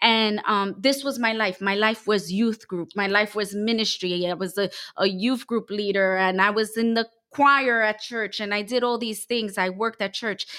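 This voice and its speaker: A woman with a normal speaking voice, a fairly high pitch, fairly even intonation and a moderate pace. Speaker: church member sharing testimony. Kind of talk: testimony.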